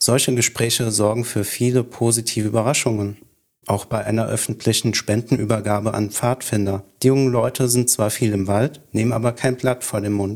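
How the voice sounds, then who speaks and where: Moderate in pace, a man delivers his words. His intonation is monotone and flat. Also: medium pitch for a man. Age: 30s. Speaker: freemason. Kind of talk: scripted dialogue.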